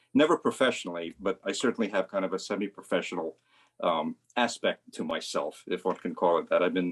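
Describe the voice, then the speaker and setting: A man at a fairly quick pace, dry and close with no echo, against a quiet background. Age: 60s. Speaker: amateur photographer and physicist. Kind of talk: casual talk about own photo. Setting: video call.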